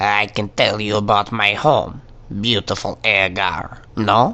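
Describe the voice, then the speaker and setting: Putting on a character voice, a man with a fairly low pitch speaks fairly slowly over light background noise. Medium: machinima. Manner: ends sentences with a questioning "no?".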